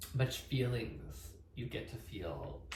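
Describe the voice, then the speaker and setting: A man's mumbling at a very slow pace, very deep and low in pitch, with audible room echo. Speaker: vlogger sharing sobriety journey. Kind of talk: personal vlog monologue. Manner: halting, hesitant.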